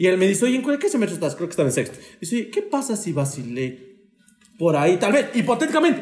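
A man's high-pitched voice with very wide pitch swings over music in the background. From Ambato, Ecuador. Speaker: podcaster and comedian. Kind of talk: casual chat. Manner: fast.

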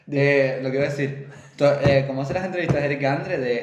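Through audible room echo and noticeable background noise, a medium-pitched man speaks at a very fast pace. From Canary Islands. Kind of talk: casual chat.

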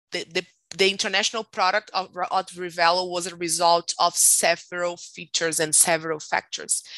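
A woman speaks at a medium pitch and a moderate pace, with a Brazilian accent. Her tone is bright and sharp, the sound is dry and close with no echo, and the background is quiet. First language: Portuguese. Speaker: tech recruiter. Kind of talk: interview. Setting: live stream.

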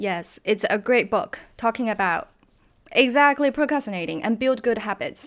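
A woman with a Chinese accent talks at a moderate pace in a fairly high pitch with lively intonation, on a very clean recording with a silent background. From China. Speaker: video game environment artist. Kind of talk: interview.

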